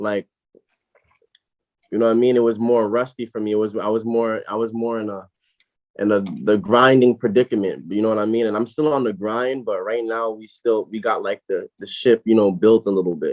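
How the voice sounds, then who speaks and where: Speaking at a fairly quick pace, a man with an American accent keeps a medium pitch and fairly even intonation. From Brooklyn, New York. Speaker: rapper and label owner. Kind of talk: casual interview.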